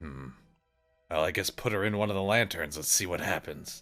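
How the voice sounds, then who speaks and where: With faint music in the background, a man uses a raspy, put-on character voice at a very deep, low pitch and a fairly quick pace. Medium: actual play. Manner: skeptical and grumbling.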